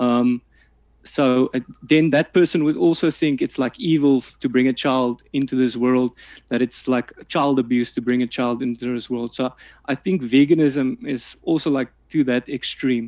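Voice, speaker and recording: In a South African accent, a man talks at a moderate pace and medium pitch with fairly even intonation. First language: Afrikaans. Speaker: omnivore debater. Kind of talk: online debate. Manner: halting, many fillers.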